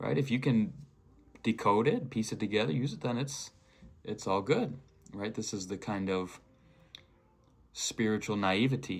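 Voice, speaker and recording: Long, frequent pauses break up a man's moderate-paced speech, which sits at a fairly low pitch with ordinary pitch variation. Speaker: spiritual video creator. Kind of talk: off-the-cuff monologue. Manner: halting.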